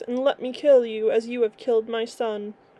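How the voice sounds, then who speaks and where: A woman puts on a booming character voice with a fairly high pitch. She moves along at a moderate pace. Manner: enraged, menacing.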